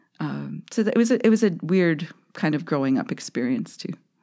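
A woman's voice with vocal fry and very wide pitch swings comes through on a very clean recording with a silent background. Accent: western Canadian. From Saskatchewan, Canada (Saskatoon). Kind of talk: interview conversation.

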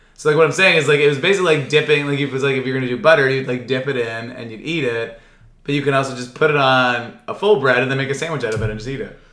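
A man at a very fast pace, medium in pitch with ordinary pitch variation, in audible room echo. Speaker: podcast co-host. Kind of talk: casual chat. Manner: loud.

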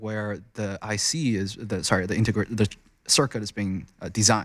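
The recording is very clean, with a silent background. A man with a Chinese accent speaks fairly quickly at a fairly low pitch. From China. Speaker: crypto mining investment researcher. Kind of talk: interview. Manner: halting.

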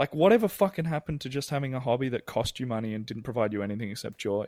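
Recorded dry and close with no echo, a man with an Australian accent speaks at a medium pitch with lively intonation. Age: 30s. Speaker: musical theatre performer. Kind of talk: interview.

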